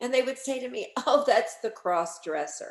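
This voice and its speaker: Her pitch swings very widely. The woman speaks at a fairly quick speed. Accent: New Orleans. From New Orleans, Louisiana. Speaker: radio host and cookbook author. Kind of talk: storytelling. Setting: video call.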